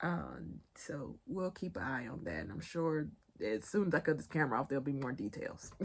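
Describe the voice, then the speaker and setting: With a Southern US accent, a woman speaks at a moderate pace. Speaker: pop culture and news commentator. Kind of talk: casual vlog commentary.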